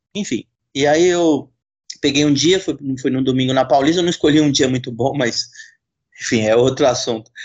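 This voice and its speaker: A man with a fairly high pitch talks at a moderate pace, using ordinary pitch variation and taking long, frequent pauses. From Brazil, São Paulo. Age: 30s. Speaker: novelist. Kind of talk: casual chat.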